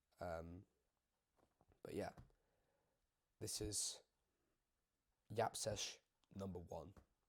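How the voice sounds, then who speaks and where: Long pauses come often in this very slowly paced speech. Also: man. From UK. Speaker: YouTuber. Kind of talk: casual chat. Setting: home video recording. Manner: rambling, filler-heavy casual talk.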